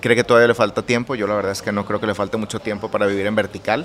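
Over noticeable background noise, a man speaks in a monotone, flat way at a fairly low pitch. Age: 30s. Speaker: architect and interior designer. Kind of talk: interview. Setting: his own café.

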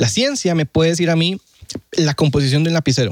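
The sound here is dry and close, without any echo. A man does the talking. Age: 20s. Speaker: student, former atheist. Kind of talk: casual chat, testimony.

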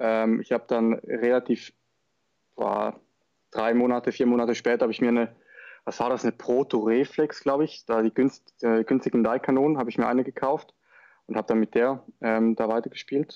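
A man's dark, mellow voice at a fairly quick pace, monotone and flat in intonation, with long, frequent pauses, dry, close sound with no echo and a quiet background. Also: medium pitch for a man. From northern Switzerland, Schaffhausen. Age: 20s. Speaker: paintball player. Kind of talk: interview.

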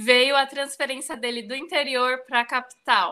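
A woman speaks in a raised, projected voice with a bright, sharp tone and a high pitch. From Brazil, São Paulo. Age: 30s. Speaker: professional organizer. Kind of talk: casual interview.

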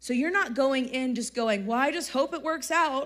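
A woman's high, animated voice with an American accent, at a moderate pace and with ordinary pitch variation. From Texas. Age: 30s. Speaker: youth speaker. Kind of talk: sermon. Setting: stage with audience.

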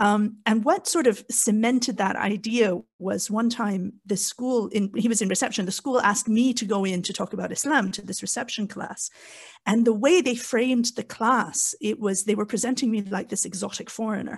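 Here a woman speaks in a fairly high pitch at a moderate pace. Her voice is somewhat breathy, with ordinary pitch variation. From Canada. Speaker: podcast guest, convert parent. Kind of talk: casual discussion.

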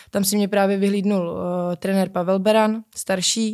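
A woman with a dark, mellow tone and a medium pitch speaks at a moderate pace in a very clean recording with a silent background. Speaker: pole vaulter. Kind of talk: interview.

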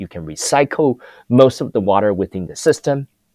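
The recording is very clean, with a silent background and a dry, close sound free of echo. Pitch swings very widely. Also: man. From Taiwan. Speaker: food tech entrepreneur. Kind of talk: interview. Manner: animated, passionate.

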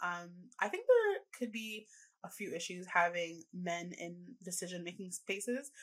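With a Canadian accent, a woman talks in an unremarkable speaking voice and fairly even intonation. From Canada. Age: 20s. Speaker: reproductive rights activist. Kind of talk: podcast interview. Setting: video call.

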